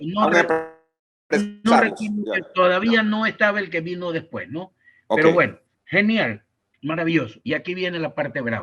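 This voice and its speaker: A man with a high voice talks at a moderate pace with lively intonation and long, frequent pauses. Music plays in the background. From Ecuador. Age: 80s+. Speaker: sports journalist and commentator. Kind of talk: interview answer.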